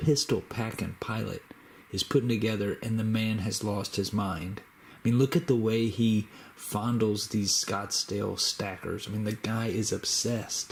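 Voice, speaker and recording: The man's voice is somewhat breathy. He keeps a moderate pace with fairly even intonation. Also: fairly low pitch for a man. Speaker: YouTuber making a shout-out video.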